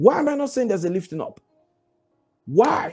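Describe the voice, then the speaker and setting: This voice belongs to a man. He moves along at a fairly quick pace. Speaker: preacher. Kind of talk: devotional Bible teaching with fervent prayer. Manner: emphatic, exhorting, repeats commands; fervent, declaring prayer. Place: home room. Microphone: lapel.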